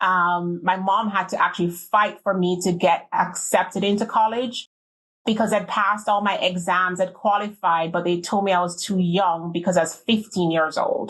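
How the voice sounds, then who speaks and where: A woman speaks at a moderate pace with a Jamaican accent. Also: medium pitch for a woman, fairly even intonation, very even loudness. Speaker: beverage industry executive. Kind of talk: interview.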